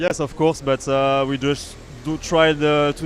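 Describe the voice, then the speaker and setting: Noticeable background noise behind a fairly high male voice at a middling speed. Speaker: kart racing team member. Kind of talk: interview. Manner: hesitant, many fillers.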